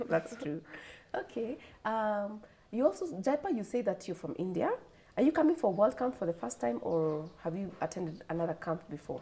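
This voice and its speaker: With a Kenyan accent, a woman talks in very wide pitch swings. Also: medium pitch for a woman, moderate pace. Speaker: TV talk show host. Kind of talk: studio interview. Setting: studio.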